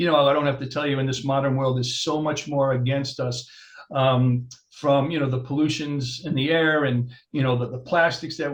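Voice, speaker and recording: The voice is somewhat breathy and moves at a fairly quick pace. Audible room echo surrounds it. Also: man. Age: 60s. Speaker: chiropractor. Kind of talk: interview.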